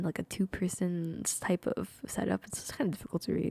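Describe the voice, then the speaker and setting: The voice is whispering. The pace is fairly quick. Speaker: vtuber streamer. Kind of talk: casual chat.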